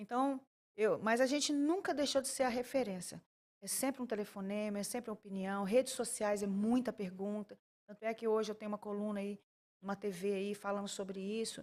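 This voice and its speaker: Ordinary pitch variation in the fairly high voice of a woman. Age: 60s. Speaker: talk show host and church couples counselor. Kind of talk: interview. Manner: halting, frequent restarts.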